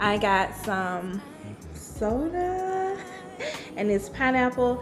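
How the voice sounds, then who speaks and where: A woman's voice over clear background music. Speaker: food vlogger. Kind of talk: casual vlog chat. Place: kitchen. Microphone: studio mic.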